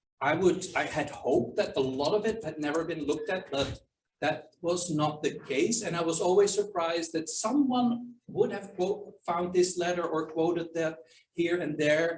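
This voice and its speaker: Speaking with a non-native accent, a man talks at a moderate pace in a high voice with ordinary pitch variation. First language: not English. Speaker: historian and author. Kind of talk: Q&A at a book launch. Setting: archive reading room with audience and Zoom. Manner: hesitant, with fillers and restarts.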